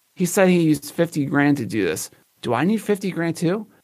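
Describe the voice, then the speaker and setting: With a Philadelphia accent, a man talks at a fairly quick pace and with ordinary pitch variation. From US Northeast, Philadelphia. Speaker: photographer and live streamer. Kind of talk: casual chat.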